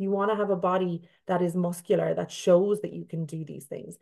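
Her voice sits fairly low for a woman. She speaks in a flat monotone. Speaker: fitness coach. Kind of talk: casual chat.

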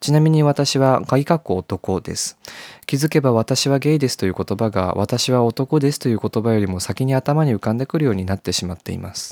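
A plain, everyday voice from a man, medium in pitch, fairly quick in pace and lively in intonation, on a very clean recording with a silent background and a dry, close sound without echo. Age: 20s. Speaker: podcast host. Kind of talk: reading aloud own diary.

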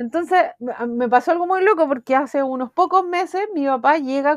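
This woman has a Chilean accent. She speaks at a moderate pace. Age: 40s. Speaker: art therapist. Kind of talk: interview.

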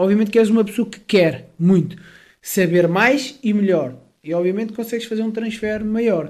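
A man talks at a moderate pace with a high-pitched voice. Audible room echo surrounds his speech. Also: ordinary pitch variation. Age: 20s. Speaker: personal trainer. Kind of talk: interview conversation. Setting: home.

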